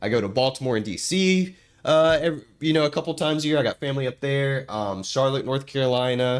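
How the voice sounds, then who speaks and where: A man with an American accent talks at a very fast pace in a fairly high pitch with ordinary pitch variation, on a very clean recording with a silent background. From US South. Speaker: gaming streamer. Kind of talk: casual chat. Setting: live stream. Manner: halting.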